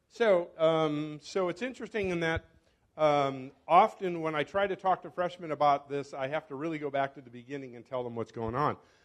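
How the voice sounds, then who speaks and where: At a fairly quick pace, a man with a fairly high pitch and ordinary pitch variation talks with big swings in loudness. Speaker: professor. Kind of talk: lecture. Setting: stage with audience. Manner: halting.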